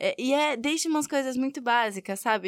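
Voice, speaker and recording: A high-pitched woman in a São Paulo accent, fairly quick and lively in intonation, with a dry, close sound, no echo, and a very clean recording with a silent background. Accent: São Bernardo accent, noticeable. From São Bernardo, São Paulo state, Brazil. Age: 20s. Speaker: university student. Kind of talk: recorded interview.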